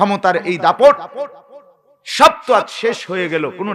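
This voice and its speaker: A man's animated voice with very wide pitch swings. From Bangladesh, Cumilla town. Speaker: Islamic preacher. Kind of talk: sermon. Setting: open-air religious gathering under a marquee with audience.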